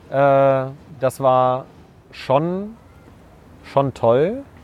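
The speaker here is a man. His pitch shifts in an ordinary way. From East Westphalia, Germany (Bad Oeynhausen). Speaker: science communicator and scientist. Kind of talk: casual conversation. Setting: outdoors walking in a park.

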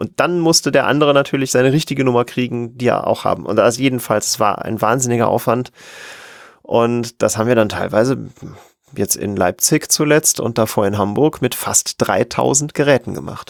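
A man has a plain, everyday voice, medium in pitch, with ordinary pitch variation and a fairly quick pace. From western Germany, near Cologne. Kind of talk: casual interview. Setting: remote call.

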